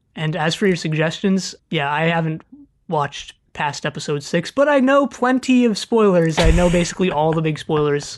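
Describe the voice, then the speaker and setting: A woman's fairly low voice with an American accent and lively intonation. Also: moderate pace. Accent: vaguely American, Californian. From California, US. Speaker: podcast co-host. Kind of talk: casual chat. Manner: hesitant, many fillers.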